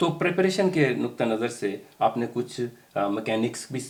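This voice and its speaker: With noticeable background noise behind him, a man's intonation rises and falls in a lively way. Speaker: interview host. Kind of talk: interview questions.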